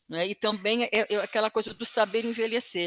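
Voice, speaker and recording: Recorded with a dry, close sound and no echo, a woman with a fairly high voice speaks at a moderate pace. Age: 60s. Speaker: training participant. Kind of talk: casual chat. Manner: halting.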